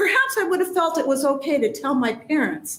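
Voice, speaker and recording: Here a woman speaks with a Midwestern US accent. Her high voice moves at a moderate pace with lively intonation. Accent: US Midwest. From rural Nebraska. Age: 60s. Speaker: public hearing testifier. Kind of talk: testimony.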